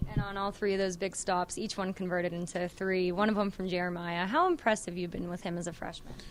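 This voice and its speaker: Amid noticeable background noise, a woman rattles off words at a very fast pace, her medium-pitched voice monotone and flat. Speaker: sports reporter. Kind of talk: interview questions.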